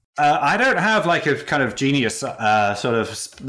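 Speaking with a British accent, a man has a bright, sharp tone. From UK. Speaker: character animator. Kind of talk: interview. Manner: halting.

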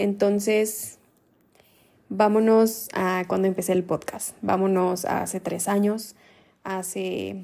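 A woman with a medium-pitched, dark and mellow voice speaks very slowly in a monotone, flat intonation, leaving long, frequent pauses. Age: 20s. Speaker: podcast host. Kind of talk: solo podcast monologue. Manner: casual, conversational.

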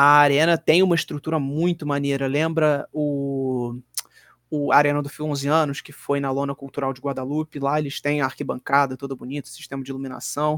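The speech is monotone and flat at a moderate pace, with a dry, close sound and no echo. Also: man, fairly high pitch for a man. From Minas Gerais, Brazil (Belo Horizonte). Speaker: pro wrestler. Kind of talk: casual chat.

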